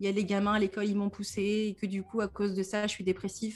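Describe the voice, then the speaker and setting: In a very clean recording with a silent background, a woman talks at a fairly quick pace with a medium pitch and a somewhat breathy quality. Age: 30s. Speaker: depression coach and podcaster. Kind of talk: casual interview. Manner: animated, with frequent laughter.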